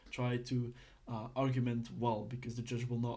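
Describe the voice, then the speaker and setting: Somewhat breathy, a man speaks at a medium pitch and a moderate pace amid audible room echo. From Belgium. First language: not English (Belgian). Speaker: online roleplay legal course teacher. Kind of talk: tutorial. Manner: halting, many fillers; casual.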